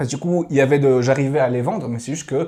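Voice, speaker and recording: This man's voice sits at a fairly high pitch, with a dark, mellow tone that is somewhat breathy. He talks at a very fast pace. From Switzerland, Valais. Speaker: podcast guest, traveller. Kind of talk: casual interview conversation. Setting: podcast studio with cameras. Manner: hesitant, many fillers.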